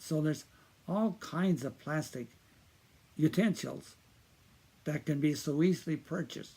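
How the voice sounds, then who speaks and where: A man with a fairly high pitch and a dark, mellow, somewhat breathy tone speaks at a fairly slow pace with long, frequent pauses. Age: 80s+. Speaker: video commentator on environmental issues. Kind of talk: informal talk to camera. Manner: halting, with many fillers and repetitions.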